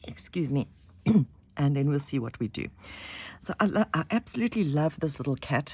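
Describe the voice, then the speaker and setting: A woman's very deep, low voice at a fairly quick pace, with lively intonation, long and frequent pauses, and a very clean recording over a silent background. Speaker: craft tutorial maker. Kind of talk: tutorial. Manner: halting.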